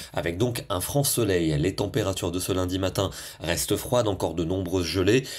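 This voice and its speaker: A man speaks at a fairly quick pace. His voice has a warm tone and a very deep, low pitch. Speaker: TV weather presenter. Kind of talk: scripted weather bulletin, brisk broadcast forecast read to camera. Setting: studio. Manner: smooth, steady newsreader delivery rattling through regions and temperatures; warm, friendly sign-off tone.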